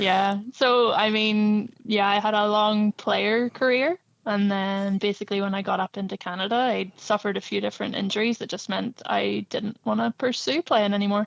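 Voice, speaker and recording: With a Northern Irish accent, a woman speaks at a moderate pace with fairly even intonation and hardly any pauses. The sound is dry and close with no echo, and the recording is very clean against a silent background. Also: medium pitch for a woman. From Northern Ireland. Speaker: director of a youth soccer club. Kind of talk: interview.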